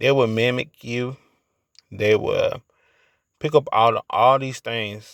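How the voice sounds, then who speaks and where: Quiet and medium in pitch, a man's voice comes through with a dry, close sound and no echo. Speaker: YouTuber. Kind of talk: late-night monologue. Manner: halting.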